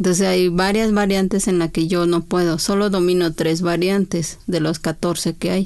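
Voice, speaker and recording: A woman in an Oaxacan accent, fairly low in pitch and monotone, at a fairly slow pace with hardly any pauses and very even loudness, over a quiet background. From Oaxaca, Mexico (Chinantla region). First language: Chinantec (speaking Spanish). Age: 40s. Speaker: poet and court interpreter. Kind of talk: interview. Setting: studio.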